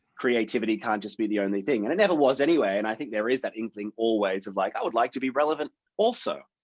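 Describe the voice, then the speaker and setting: In an Australian accent, a man talks very fast with hardly any pauses, at a medium pitch with ordinary pitch variation. The sound is dry and close, with no echo. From Australia, Sydney. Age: 30s. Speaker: actor. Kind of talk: casual chat.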